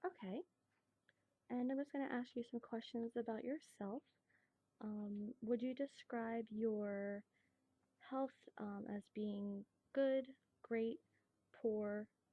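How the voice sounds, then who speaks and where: A very slow, whispering woman, soft-spoken and somewhat breathy, with a gentle tone and long, frequent pauses. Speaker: nurse in a class project role-play. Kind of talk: soft-spoken ASMR role-play of a nurse taking a health history. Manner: soft-spoken, gentle, whispering.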